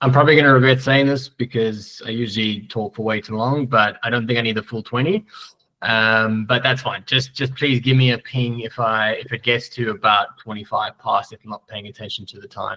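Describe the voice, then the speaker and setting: In a South African accent, a man speaks with a bright, sharp tone, fairly even intonation and big swings in loudness. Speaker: software tech lead. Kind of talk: conference presentation. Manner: hesitant, many fillers.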